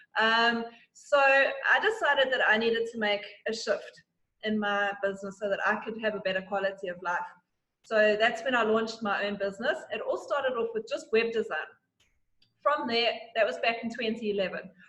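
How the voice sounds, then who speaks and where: A woman talks at a fairly quick pace in a bright, sharp tone. Her pitch is fairly high, with ordinary variation. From South Africa. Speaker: digital marketing consultant. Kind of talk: interview.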